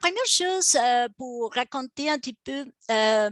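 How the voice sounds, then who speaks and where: In an Argentine accent, a woman with a high voice speaks with lively intonation, the sound dry and close with no echo. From Argentina. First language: Spanish (speaking French). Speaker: professor and heritage restorer. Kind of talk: webinar lecture. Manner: halting, many fillers.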